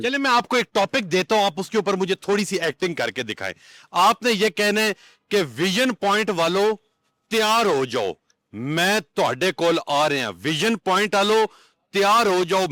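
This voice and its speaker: A man with a high voice speaks loudly and projects, his bright, sharp tone carried by lively intonation in a dry, close, echo-free recording that is very clean over a silent background. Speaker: interviewer, channel host. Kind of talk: interview questions.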